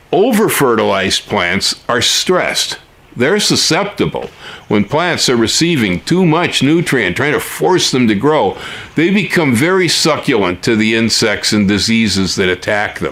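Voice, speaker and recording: A man speaks at a fairly slow pace, his pitch swinging very widely while his loudness stays very even. Noticeable background noise runs underneath. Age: 70s. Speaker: gardening YouTuber. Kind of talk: casual monologue. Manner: conversational with many fillers.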